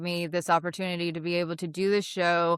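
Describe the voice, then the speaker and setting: A woman talks in a plain, everyday voice. Her pitch is medium and her pace moderate. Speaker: actress and interview show host. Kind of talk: casual interview chat.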